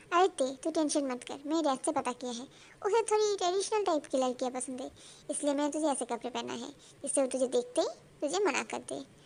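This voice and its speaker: Using a put-on character voice, a woman speaks very fast, high in pitch, with lively intonation. Clear background noise runs underneath. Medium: audio drama. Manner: theatrical, pushy.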